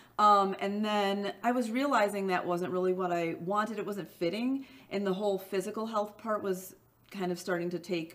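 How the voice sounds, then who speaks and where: Against noticeable background noise, a woman with a Midwestern accent speaks at a moderate pace in a medium pitch with fairly even intonation. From US Midwest. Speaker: small business owner, former boxer. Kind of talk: interview answer.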